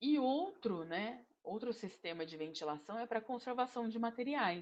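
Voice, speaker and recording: A woman with a plain, everyday voice speaks at a fairly slow pace in a fairly high pitch, with lively intonation. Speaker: engineering instructor. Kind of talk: online lecture.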